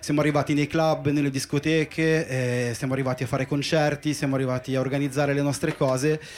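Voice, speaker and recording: A man talks at a very fast pace in a fairly high pitch. His intonation is monotone and flat. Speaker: DJ. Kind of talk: interview on live podcast. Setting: boat with live audience.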